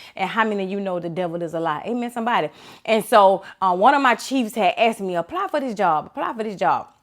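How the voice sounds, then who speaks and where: A woman speaks very fast at a medium pitch, her tone animated and her intonation lively, in a very clean recording with a silent background. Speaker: motivational speaker, former law enforcement officer. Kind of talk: inspirational talk.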